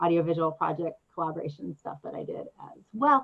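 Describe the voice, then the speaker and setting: A woman speaks with a fairly low pitch. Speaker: audiovisual artist and performer. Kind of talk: presentation with slides. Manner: fast.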